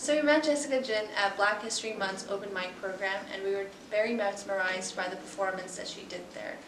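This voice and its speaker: A woman talks at a fairly quick pace with hardly any pauses, her medium-pitched voice showing ordinary pitch variation, with audible room echo and noticeable background noise. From Tibetan heritage. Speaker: podcast co-host. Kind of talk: podcast interview.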